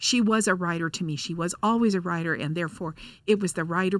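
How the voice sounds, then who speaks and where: On a very clean recording with a silent background, a woman uses an unremarkable speaking voice, fairly low in pitch with fairly even intonation. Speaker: radio producer. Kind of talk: casual chat. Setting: studio.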